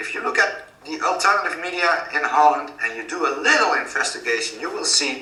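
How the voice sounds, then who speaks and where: A man with a Dutch accent at a moderate pace, noticeable background noise and audible room echo. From Netherlands. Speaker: author and activist. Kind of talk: interview.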